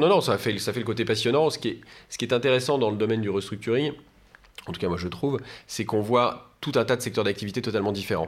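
Very fast pace with lively intonation. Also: man, medium pitch for a man. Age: 40s. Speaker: business lawyer. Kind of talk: interview. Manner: halting, frequent repetitions.

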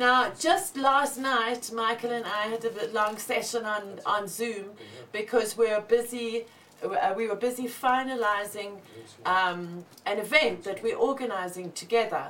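Noticeable background noise sits behind a woman with a fairly high pitch. She speaks at a very slow pace with ordinary pitch variation. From South Africa. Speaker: cannabis show host. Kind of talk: casual live show chat. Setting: studio.

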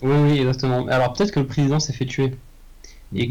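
A man speaks at a medium pitch. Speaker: podcast co-host, guesses film plots. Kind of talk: casual chat, improvised comedy.

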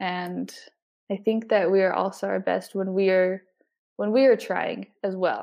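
A woman with a western US accent speaks at a fairly slow pace. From Utah, Salt Lake City area. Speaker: college student. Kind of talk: interview. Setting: studio.

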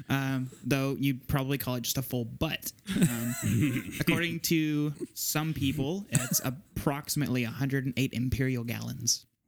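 An American-accented man talks at a fairly slow pace and a medium pitch. His pitch varies in an ordinary way, and there is noticeable background noise. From Southeast Texas. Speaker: podcast guest. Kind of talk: casual discussion.

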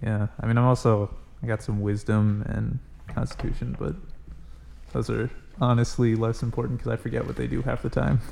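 A man talks at a fairly quick pace. His speech is broken by long, frequent pauses. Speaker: podcast host and player. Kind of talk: casual chat.

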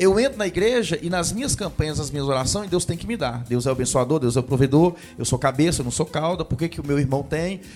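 With hardly any pauses, a man rushes along at a very fast pace, his fairly high voice carrying lively intonation. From Brazil, Jequitinhonha Valley (Minas Gerais). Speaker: pastor. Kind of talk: casual chat.

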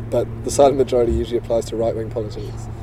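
Noticeable background noise runs beneath a man who speaks very fast. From South Africa. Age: 30s. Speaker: futurist newsletter writer. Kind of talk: casual interview. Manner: halting.

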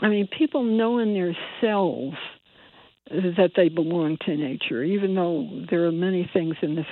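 A woman with an American accent and an ordinary speaking voice talks at a moderate pace, with a fairly low pitch and ordinary pitch variation. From US Northeast (Bridgeport, Connecticut). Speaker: environmental activist. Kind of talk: radio interview.

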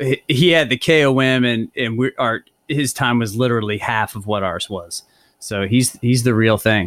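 A man's ordinary speaking voice at medium pitch and a moderate pace, ordinary pitch variation, dry and close with no echo. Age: 40s. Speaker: podcast host and cycling coach. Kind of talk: interview.

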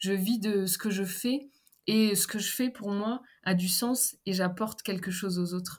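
Speaking at a fairly slow pace, a woman's somewhat breathy voice sits at medium pitch with ordinary pitch variation. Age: 30s. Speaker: therapist and personal development coach. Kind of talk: interview.

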